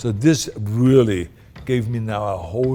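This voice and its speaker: A man speaks with a non-native accent. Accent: foreign. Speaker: actor. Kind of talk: interview answer.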